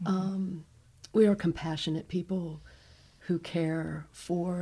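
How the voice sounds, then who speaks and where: A woman with an American accent, fairly low-pitched with a dark, mellow tone, somewhat breathy, in monotone, flat intonation at a fairly slow pace. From Northeast Ohio, US. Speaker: hospital chaplain. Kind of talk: radio interview. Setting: studio.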